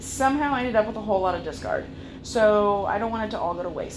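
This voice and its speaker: A woman speaks with ordinary pitch variation amid noticeable background noise. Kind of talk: casual vlog chat. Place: kitchen. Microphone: phone near.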